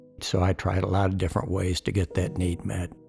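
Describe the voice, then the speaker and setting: A man is speaking. Music plays in the background. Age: 70s. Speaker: retired fighter pilot. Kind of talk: testimony.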